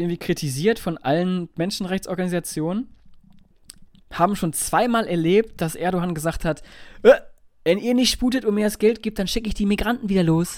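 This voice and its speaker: Recorded very cleanly against a silent background, a man with a high pitch talks at a moderate pace with ordinary pitch variation and long, frequent pauses. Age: 30s. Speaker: podcast co-host. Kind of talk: casual chat.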